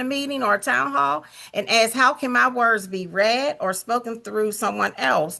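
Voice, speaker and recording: Against a quiet background, the speaker talks fairly quickly with a bright, sharp tone, lively intonation and vocal fry. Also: woman. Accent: American. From Pittsburgh, Pennsylvania. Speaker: community activist. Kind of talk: town hall comment.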